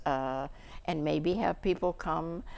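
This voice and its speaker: Woman with an American accent, fairly low pitch, vocal fry and very slow pace on a very clean recording with a silent background. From San Francisco Bay Area, California. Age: 90s. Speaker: community storytelling guest, retired realtor. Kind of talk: casual interview chat. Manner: halting, many fillers.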